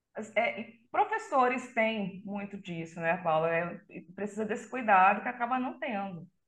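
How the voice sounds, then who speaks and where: Lively intonation colors speech that moves at a fairly slow pace. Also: woman, medium pitch for a woman. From Brazil, Belém (Pará), raised in Catalão, Goiás. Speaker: extreme metal vocalist and psychologist. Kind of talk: casual interview.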